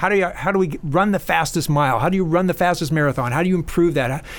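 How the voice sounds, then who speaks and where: Very fast speech comes from a man with a fairly high pitch. His pitch variation is ordinary. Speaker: exercise scientist and professor. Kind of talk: casual interview chat.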